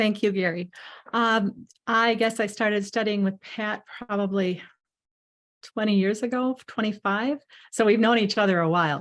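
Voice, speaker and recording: A woman with a normal speaking voice, fairly high in pitch, at a moderate pace with fairly even intonation against a quiet background. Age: 50s. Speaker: mezzo-soprano singer. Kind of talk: interview on video call. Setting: Zoom video call.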